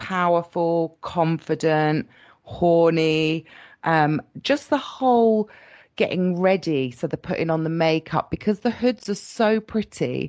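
On a very clean recording with a silent background, a woman with a British accent speaks at a fairly slow pace and a fairly low pitch. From Britain. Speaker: latex model. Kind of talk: interview.

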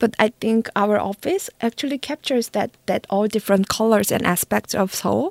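A woman with a Korean accent talks at a moderate pace and fairly high pitch, with ordinary pitch variation and hardly any pauses, in a dry, close sound with no echo. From South Korea. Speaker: marketing executive. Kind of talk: interview. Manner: halting.

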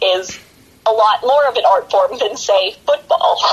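At a moderate pace, a woman speaks in an American accent against noticeable background noise. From western Pennsylvania, Pittsburgh area. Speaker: professional wrestler. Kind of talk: casual interview.

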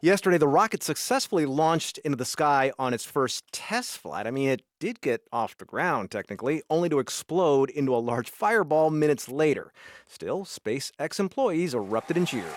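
A man with a fairly high pitch and lively intonation talks at a moderate pace with hardly any pauses, in a normal speaking voice. The recording is very clean and silent in the background, with a dry, close sound with no echo. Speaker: radio news host. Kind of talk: interview.

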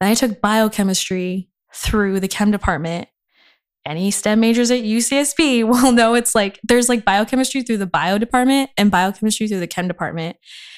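A woman's fairly high voice at a moderate pace with ordinary pitch variation, dry and close with no echo on a very clean recording with a silent background. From Inland Empire, Southern California. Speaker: chemistry graduate, aspiring medical student. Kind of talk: casual interview chat. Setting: in-person podcast recording. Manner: casual, filler-heavy.

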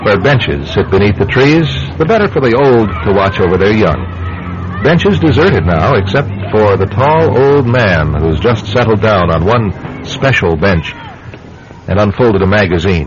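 Over music in the background, a man with a fairly low pitch takes a dramatic tone with lively intonation. His loudness stays very even at a moderate pace. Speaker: radio drama narrator and producer. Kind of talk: old-time radio drama narration, scripted announcer. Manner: dramatic, measured, ominous, smooth narrator's delivery.

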